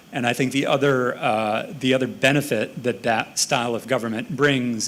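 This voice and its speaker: A man with an American accent talks in a plain, everyday voice. His intonation is fairly even. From United States. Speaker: panelist. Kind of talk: panel discussion.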